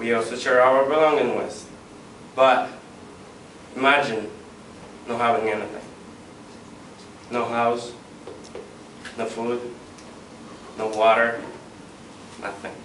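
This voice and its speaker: Fairly slow, flat monotone delivery with long, frequent pauses over noticeable background noise. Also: man, medium pitch for a man. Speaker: student. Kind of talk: persuasive class speech.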